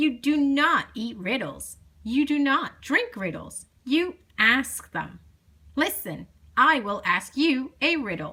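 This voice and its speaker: A woman puts on a character voice, high-pitched and fairly slow. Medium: read story. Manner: bossy, impatient.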